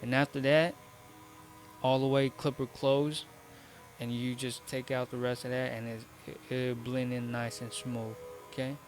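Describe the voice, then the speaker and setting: A man in monotone, flat intonation, with long, frequent pauses and music in the background. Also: medium pitch for a man, moderate pace. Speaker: barber. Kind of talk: tutorial. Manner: stuttering; casual, instructive.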